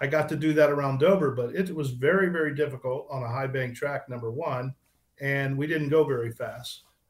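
At a fairly high pitch, a man talks at a moderate pace with fairly even intonation. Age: 60s. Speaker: retired drag racer. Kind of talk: interview. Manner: halting.

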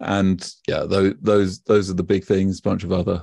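Dry and close with no echo, the recording has a quiet background. A man with a British accent talks in a fairly low pitch with a dark, mellow tone. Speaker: blockchain expert. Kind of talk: casual interview. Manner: hesitant, filler words.

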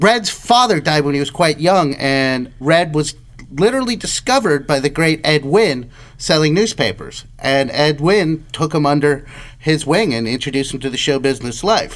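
Lively intonation at a moderate pace, against noticeable background noise. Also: man, fairly high pitch for a man. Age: 30s. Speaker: podcast co-host. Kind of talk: casual discussion podcast.

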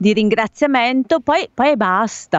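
A woman with a fairly high pitch and ordinary pitch variation talks at a moderate pace in an ordinary speaking voice. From Bergamo, Lombardy. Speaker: radio host. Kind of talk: live radio chat. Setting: remote link from home.

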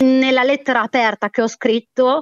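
The speaker is a woman. Her intonation is fairly even throughout. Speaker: former editor and caller. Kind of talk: emotional commentary. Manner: indignant, agitated.

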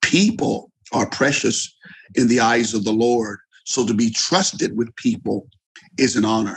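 In an unremarkable speaking voice, a man talks at a fairly slow pace with medium pitch, ordinary pitch variation and very even loudness. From US, eastern shore of Maryland. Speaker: retired pastor. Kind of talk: interview.

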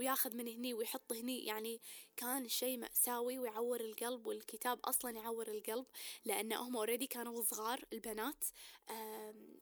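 A woman talks with a fairly high pitch. Her intonation is monotone and flat. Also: moderate pace. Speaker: podcast host. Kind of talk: casual monologue with code-switching to English.

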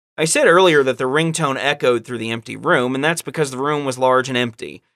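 With a bright, sharp tone, a man speaks playfully at medium pitch with ordinary pitch variation on a very clean recording with a silent background. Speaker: podcast host. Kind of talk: casual comedic chat with story reading. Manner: playful, joking.

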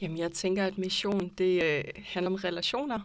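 In a very clean recording with a silent background, a woman speaks slowly-ish at a medium pitch with fairly even intonation. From Aarhus, Denmark. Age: 20s. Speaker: anthropology student. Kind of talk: casual discussion. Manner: hesitant, many fillers.

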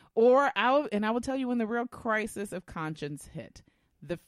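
At a moderate pace, a woman speaks at a medium pitch with very wide pitch swings. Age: 40s. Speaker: podcast co-host. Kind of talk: casual chat.

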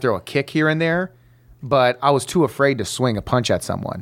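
An ordinary speaking voice with an American accent moves at a fairly quick pace. Its pitch variation is ordinary. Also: man. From Detroit, Michigan. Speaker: comedian. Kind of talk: casual chat.

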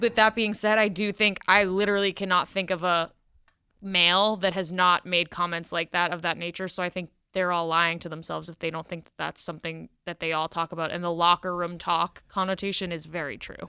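At a fairly quick pace, a woman with a fairly low pitch speaks in a flat monotone with a bright, sharp tone, the sound dry and close with no echo against a quiet background. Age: 20s. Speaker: college student, campus political club member. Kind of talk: radio interview. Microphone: told to stay close to the mic.

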